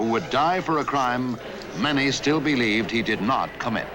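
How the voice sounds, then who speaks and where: Noticeable background noise sits behind a man talking at a moderate pace. His medium pitch moves with ordinary variation, and his loudness stays very even. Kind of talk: documentary narration.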